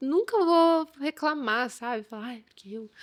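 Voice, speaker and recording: A woman's voice with ordinary pitch variation. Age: young. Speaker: chef and entrepreneur. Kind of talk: casual chat.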